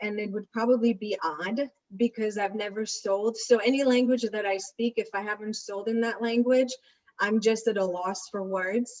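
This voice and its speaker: A woman with an Israeli accent speaks at a moderate pace. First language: Hebrew. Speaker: real estate agent. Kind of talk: interview. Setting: video webinar.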